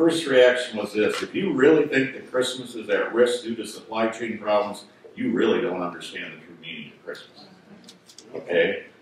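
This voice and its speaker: A man speaks with lively intonation and big swings in loudness. Strong room echo and light background noise fill the recording. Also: moderate pace. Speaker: pastor. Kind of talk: sermon. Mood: lightly humorous. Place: church.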